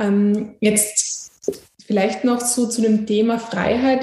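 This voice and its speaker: A woman speaks at a fairly slow pace with a fairly high, somewhat breathy voice. Her intonation is fairly even, and the room echo is audible. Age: young. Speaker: podcast host. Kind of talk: interview.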